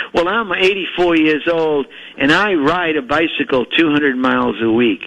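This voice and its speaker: Noticeable background noise behind a man with a fairly high pitch, lively intonation and a moderate pace. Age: 80s+. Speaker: physician. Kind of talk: interview. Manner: halting.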